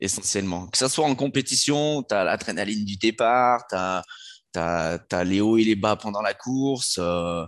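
A man's ordinary speaking voice, fairly low in pitch, at a moderate pace with ordinary pitch variation against a quiet background. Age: 30s. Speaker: fitness coach and former soldier. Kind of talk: podcast interview.

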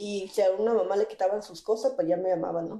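A woman's medium-pitched, dark and mellow voice at a fairly quick pace, with fairly even intonation. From Mexico, Baja California (Mixtec family from Guerrero). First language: Mixtec (Tu'un Savi) (speaking Spanish). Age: 20s. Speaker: interpreter and community activist. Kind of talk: interview testimony.

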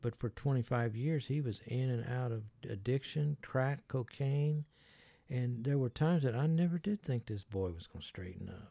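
Speaking at a moderate pace with an American accent, the voice is somewhat breathy and dark and mellow in tone, captured dry and close with no echo on a very clean recording against a silent background. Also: man, medium pitch for a man, lively intonation. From US Midwest. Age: 70s. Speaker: community ministry leader. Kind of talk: casual interview conversation.

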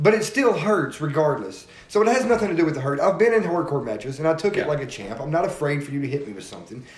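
Over noticeable background noise, a man with a fairly high pitch talks at a very fast pace with hardly any pauses, very wide pitch swings and big swings in loudness. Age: 30s. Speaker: podcast host and independent wrestler. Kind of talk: casual chat.

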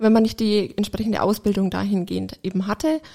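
A woman's dark, mellow, medium-pitched voice at a moderate pace. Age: 30s. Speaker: hearing aid acoustician. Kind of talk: casual chat.

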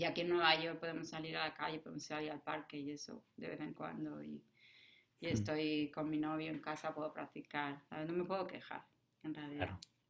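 Pitch moves in an ordinary way. The talking goes at a fairly quick pace. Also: woman, very deep, low pitch for a woman. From Spain. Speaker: jazz pianist and composer. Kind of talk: interview conversation. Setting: remote call.

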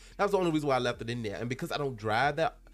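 A man talks in an animated tone with lively intonation. Music plays in the background. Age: 20s. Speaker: solo podcast host. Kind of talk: casual chat. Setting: home recording.

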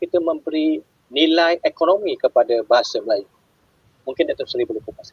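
A man with a Malaysian accent talks at a fairly quick pace. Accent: Malaysian Malay. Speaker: live-stream host. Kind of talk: interview. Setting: online live stream.

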